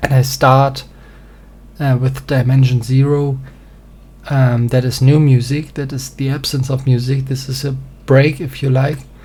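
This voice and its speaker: A man with a German accent speaks at a medium pitch in a dark, mellow, somewhat breathy tone, with monotone, flat intonation, a fairly slow pace and long, frequent pauses. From German-speaking country. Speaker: singer-songwriter presenting music theory. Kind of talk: reading aloud a presentation. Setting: small home studio. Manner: halting, many fillers.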